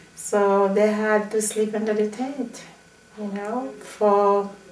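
Audible room echo surrounds a woman's fairly high-pitched voice. She speaks at a very slow pace. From Haiti. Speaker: Haitian immigrant parent; interviewee. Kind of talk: interview. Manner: halting. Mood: calm, sometimes smiling.

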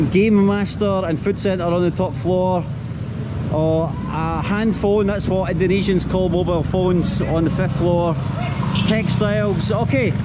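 A man speaks at a fairly slow pace while loud background noise carries on. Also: ordinary pitch variation. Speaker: travel vlogger. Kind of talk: casual vlog chat. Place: market. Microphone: phone near.

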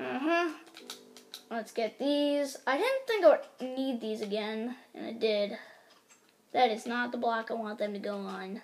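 A woman's fairly high voice with ordinary pitch variation, a fairly slow pace and long, frequent pauses, over noticeable background noise. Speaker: gaming YouTuber. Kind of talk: casual gameplay commentary. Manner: rambling, filler-heavy.

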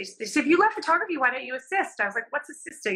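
A woman uses a raised, projected voice with lively intonation. The background is quiet. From Southern California. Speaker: fashion and beauty photographer. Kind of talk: casual interview chat. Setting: video call from home. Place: home room. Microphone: video call.

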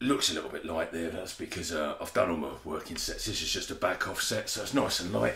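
The man talks at a fairly quick pace. Room echo is audible. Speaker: comedic gym instructor. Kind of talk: tutorial. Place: garage. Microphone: camera far.

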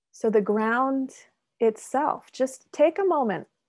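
Lively intonation comes through over a quiet background. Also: woman. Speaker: mindfulness guide. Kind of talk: guided meditation. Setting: video call. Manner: slow. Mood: calm, soothing, slow. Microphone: video call.

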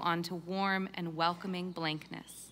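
A woman's voice comes across solemn, with a bright, sharp tone. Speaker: multifaith chaplain. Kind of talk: benediction prayer at a graduation ceremony. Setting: stage with audience at commencement. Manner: solemn, measured, reverent. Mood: calm, solemn, warm. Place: stage. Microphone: podium.

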